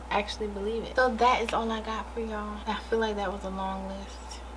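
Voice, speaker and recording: Fairly quick speech from a woman, with audible room echo and noticeable background noise. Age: 30s. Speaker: vlogger. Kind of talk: casual monologue to camera. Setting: in her room. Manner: animated.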